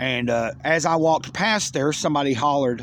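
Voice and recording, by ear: A man speaks with a fairly high pitch and a fairly bright tone. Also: ordinary pitch variation, moderate pace.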